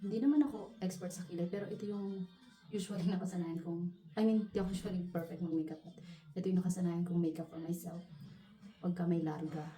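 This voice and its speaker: A quiet woman's voice at a fairly low pitch, very fast and fairly even in intonation, with music in the background. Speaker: beauty vlogger. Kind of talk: casual tutorial vlog. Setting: at home. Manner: quiet, low voice.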